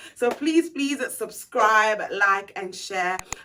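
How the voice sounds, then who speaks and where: Over noticeable background noise, a woman speaks at a fairly slow pace. Her pitch is fairly high, with lively intonation. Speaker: motivational vlogger. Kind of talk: motivational vlog talk. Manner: casual, with many fillers.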